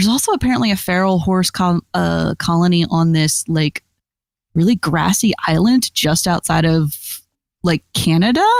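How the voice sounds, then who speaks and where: A woman speaks in an unremarkable speaking voice, fairly low in pitch with ordinary pitch variation. Her loudness stays very even, and the sound is dry and close with no echo. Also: moderate pace. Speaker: guest on the show.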